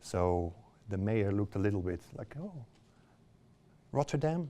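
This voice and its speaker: Lively intonation with a Dutch accent. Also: man. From Netherlands. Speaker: visiting practitioner speaker. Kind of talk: public lecture. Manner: halting, many fillers.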